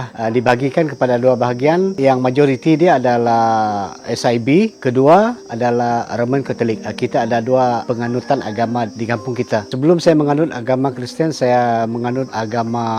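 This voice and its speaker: Against noticeable background noise, the speech moves at a moderate pace with ordinary pitch variation and hardly any pauses. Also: man, medium pitch for a man. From Sarawak, Malaysia. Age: 60s. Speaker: village headman. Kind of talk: interview.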